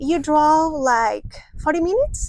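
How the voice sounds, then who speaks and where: A woman speaks with a non-native accent. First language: Spanish. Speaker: travel vlogger. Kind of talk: casual chat. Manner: halting.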